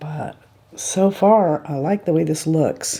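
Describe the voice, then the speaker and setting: A woman's very deep, low voice, somewhat breathy, at a very slow pace. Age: 50s. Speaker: beauty vlogger. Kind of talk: tutorial. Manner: casual, chatty.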